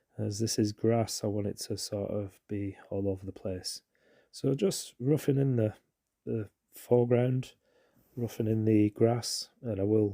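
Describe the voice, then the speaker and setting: A man talks with a British accent and fairly even intonation. The sound is dry and close, with no echo. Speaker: watercolour painting instructor. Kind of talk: tutorial. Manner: casual, hesitant with fillers.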